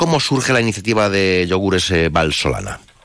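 An animated male voice at a moderate pace, with noticeable background noise. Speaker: radio host. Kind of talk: radio interview. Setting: studio.

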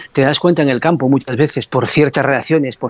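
A man with an ordinary speaking voice talks fairly quickly at a fairly high pitch, his intonation fairly even. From Asturias, Spain. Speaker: former football referee. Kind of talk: radio interview.

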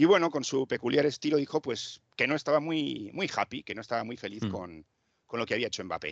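A man at medium pitch speaks with very wide pitch swings and vocal fry, recorded dry and close with no echo against a quiet background. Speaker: football correspondent. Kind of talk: casual chat.

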